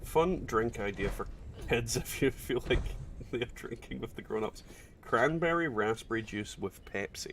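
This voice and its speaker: A man with a Scottish accent talks at a moderate pace. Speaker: gaming streamer. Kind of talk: casual chat. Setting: livestream.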